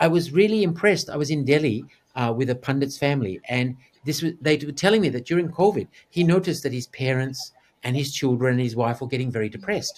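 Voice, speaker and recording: Talking very fast, a man fills the clip. He has an Australian accent. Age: 60s. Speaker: actor, TV anchor and yogi. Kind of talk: interview. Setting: video call.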